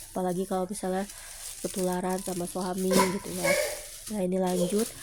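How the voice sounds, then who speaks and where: Her pitch medium, a woman speaks at a fairly quick pace. Her intonation stays monotone and flat. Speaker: housewife vlogger. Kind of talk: vlog voiceover. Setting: at home. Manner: casual, with many fillers.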